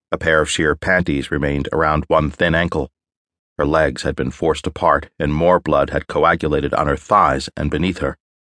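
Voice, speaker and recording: A man with a very deep, low pitch and vocal fry uses a dramatic tone that is bright and sharp, with monotone, flat intonation, in a dry, close sound with no echo. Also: moderate pace. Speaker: audiobook narrator. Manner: slips into gang-member swagger and a tense, clipped Hawker in the dialogue.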